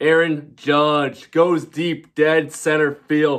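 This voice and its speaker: A man speaks in a monotone, flat intonation. The background is quiet. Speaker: sports fan vlogger. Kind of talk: casual postgame recap commentary. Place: home room. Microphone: phone near.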